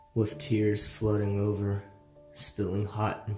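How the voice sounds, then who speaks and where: A man's fairly low voice with music playing in the background. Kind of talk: horror story narration.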